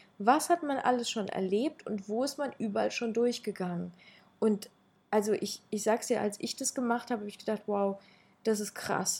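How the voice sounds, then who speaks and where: Speaking at a moderate pace, a woman uses a fairly high, somewhat breathy voice with ordinary pitch variation. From Ukraine. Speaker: public speaker and podcaster. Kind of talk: casual interview.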